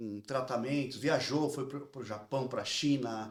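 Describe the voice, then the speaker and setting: This is a man with a medium pitch and an unremarkable speaking voice. He talks at a fairly slow pace. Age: 40s. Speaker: podcast host. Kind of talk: interview.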